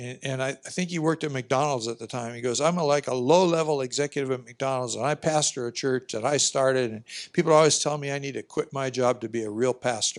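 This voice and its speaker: Against a quiet background, a man talks at a very fast pace with a medium pitch and fairly even intonation. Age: 70s. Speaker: pastor. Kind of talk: conference talk. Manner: halting.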